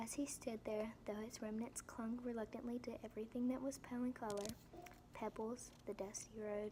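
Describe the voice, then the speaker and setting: A soft-spoken woman talks at a fairly quick pace with a fairly high pitch and monotone, flat intonation. Noticeable background noise is present. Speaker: ASMR reader. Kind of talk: audiobook reading for relaxation. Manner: soft-spoken, whispered.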